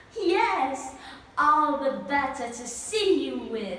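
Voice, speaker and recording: Using a put-on character voice, a woman speaks at a high pitch and a very slow pace with clear echo. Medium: read story.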